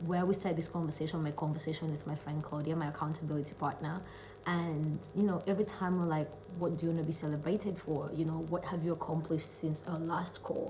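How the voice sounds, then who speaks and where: A woman's fairly low voice at a very fast pace, with noticeable background noise and audible room echo. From Kenya. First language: not English. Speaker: self-love coach and speaker. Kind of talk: casual vlog monologue. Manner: animated.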